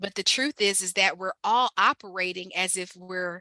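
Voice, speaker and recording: A woman speaks with a slight Ohio accent and a bright, sharp tone. The sound is dry and close, with no echo. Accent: slight Ohio country twang. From Ohio, Mansfield. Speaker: community health organizer. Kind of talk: guest talk. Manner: casual, conversational.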